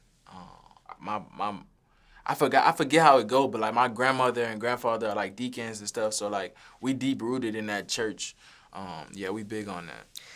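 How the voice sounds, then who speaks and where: In a very clean recording with a silent background, a man with a New Orleans accent speaks at a moderate pace and medium pitch, with ordinary pitch variation and big swings in loudness. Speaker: recording artist. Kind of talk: interview answer. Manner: casual, relaxed.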